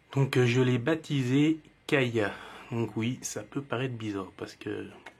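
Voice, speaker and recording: A man talks with a Jura accent. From Jura, eastern France. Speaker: reptile keeper YouTuber. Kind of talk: casual video presentation. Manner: hesitant, many fillers.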